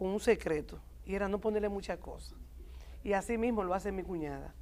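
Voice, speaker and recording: A woman speaking at a fairly quick pace. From Dominican Republic, Santo Domingo; Dominican Republic. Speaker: doctor, TV talk show guest; TV talk show guest. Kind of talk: TV talk show chat. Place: studio.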